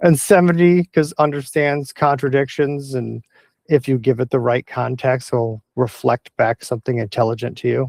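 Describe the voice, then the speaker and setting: It is a plain, everyday voice from a man at medium pitch. He keeps a moderate pace and ordinary pitch variation, with a dry, close sound and no echo. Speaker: tech explainer video host. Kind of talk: informal explainer monologue. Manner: rambling, self-correcting.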